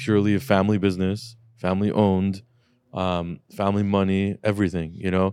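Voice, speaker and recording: A man speaks in a normal speaking voice. His pitch sits fairly low. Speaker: car shop owner and podcast host. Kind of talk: casual chat. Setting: studio. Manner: joking, profane.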